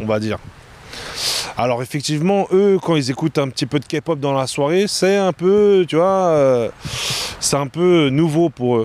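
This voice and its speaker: A man speaks with lively intonation. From France. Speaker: nightlife event organizer. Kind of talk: casual interview.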